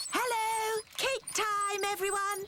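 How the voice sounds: A squeaky, female-sounding cartoonish character voice at an extremely high pitch delivers its lines with monotone, flat intonation over clear background noise.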